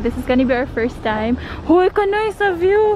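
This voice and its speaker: A woman at a moderate pace, the sound dry with no echo, over light background noise. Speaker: vlogger. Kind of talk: casual vlog chat. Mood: happy, excited. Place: garden. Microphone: phone near.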